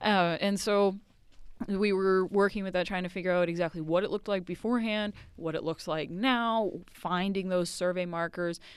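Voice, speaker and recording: A woman with an American accent talks at a moderate pace in a normal speaking voice. Her pitch sits in the middle and her intonation stays fairly even. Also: very clean recording, silent background. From Massachusetts, north of Boston (Haverhill). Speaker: park ranger. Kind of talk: casual interview chat. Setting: outdoors at a lake park.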